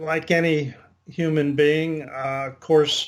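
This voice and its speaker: The recording is very clean, with a silent background. A man talks very slowly in a fairly high, monotone, flat voice. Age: 70s. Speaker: patient giving testimonial. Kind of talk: testimony. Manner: hesitant, many fillers.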